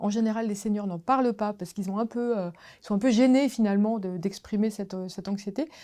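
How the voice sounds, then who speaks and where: A woman's dark, mellow tone at a fairly high pitch, ordinary pitch variation, and a very clean recording with a silent background. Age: 60s. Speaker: diversity consultant, company founder. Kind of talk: interview. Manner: hesitant, many fillers.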